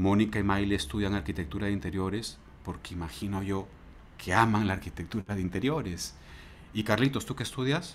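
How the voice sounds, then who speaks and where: Through light background noise, a man talks fairly quickly at a fairly low pitch with ordinary pitch variation. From Peru. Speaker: university lecturer. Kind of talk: interview. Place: home room. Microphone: earbuds.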